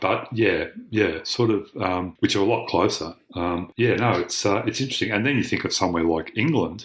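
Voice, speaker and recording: Somewhat breathy and fairly quick, a man speaks with an Australian accent. His pitch is fairly low, with ordinary variation. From Australia, Melbourne. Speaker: academic. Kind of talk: casual chat. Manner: halting, many fillers.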